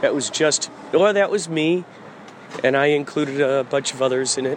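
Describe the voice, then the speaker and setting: There is noticeable background noise in this clip. The man's voice is fairly high in pitch. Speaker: podcaster and musician. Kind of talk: stream-of-consciousness monologue. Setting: out running errands, grocery store. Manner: loud; halting.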